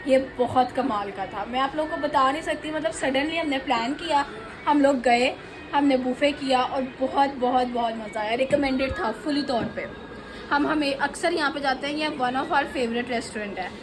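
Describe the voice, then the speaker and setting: There is noticeable background noise behind a woman with a high voice. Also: ordinary pitch variation, moderate pace. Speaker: family vlogger. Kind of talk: vlog commentary. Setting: restaurant.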